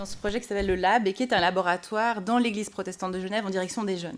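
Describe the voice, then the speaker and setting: A woman's voice sits at a medium pitch, her intonation fairly even. The background is silent and the recording very clean. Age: 30s. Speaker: pastor. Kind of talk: panel debate. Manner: halting.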